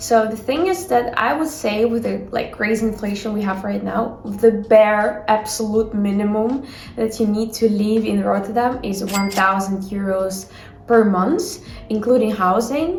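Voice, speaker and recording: The voice moves at a fairly slow pace with ordinary pitch variation. Noticeable background noise runs beneath it. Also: woman, fairly high pitch for a woman. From Ukraine. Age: young. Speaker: university student. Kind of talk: casual talk to camera.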